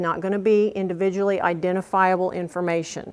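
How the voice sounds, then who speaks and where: In a slight Oklahoma accent, a woman speaks at a moderate pace and a medium pitch. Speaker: workshop presenter. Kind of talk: workshop presentation. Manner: animated.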